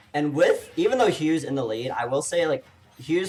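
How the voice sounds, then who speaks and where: There is music in the background. Over it, a man talks fairly quickly. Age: 30s. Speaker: esports commentator. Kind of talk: live commentary. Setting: live stream.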